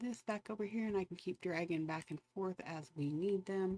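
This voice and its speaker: A soft-spoken woman's fairly low voice, dark and mellow in tone, at a moderate pace, with a dry, close sound and no echo. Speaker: livestreamer giving wildfire updates. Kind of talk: live stream commentary. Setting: home live stream at night. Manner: casual, halting with fillers.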